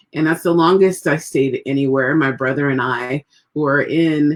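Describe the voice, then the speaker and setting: The pace is moderate. It is a woman talking with an American accent. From third culture kid, Trinidad, US, Spain, Turkey. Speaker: magazine editor. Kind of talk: interview. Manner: cheerful.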